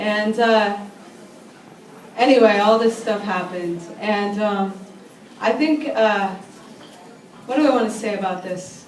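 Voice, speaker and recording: Spoken at a fairly slow pace with long, frequent pauses and ordinary pitch variation, the voice sits over noticeable background noise. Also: woman, fairly high pitch for a woman. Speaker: slam poet. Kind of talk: casual introduction to a live audience. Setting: live venue.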